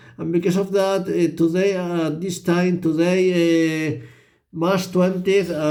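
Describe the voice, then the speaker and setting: There is audible room echo as a man speaks in a high pitch with a dark, mellow tone. His intonation is monotone and flat, and his pace is fairly slow. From Spain. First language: Spanish. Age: 50s. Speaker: vlogger. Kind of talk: personal monologue vlog. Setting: hotel room at midnight. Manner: halting, many repetitions and fillers.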